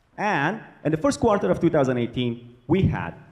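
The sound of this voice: A man's fairly high voice moves through big pitch swings. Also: moderate pace.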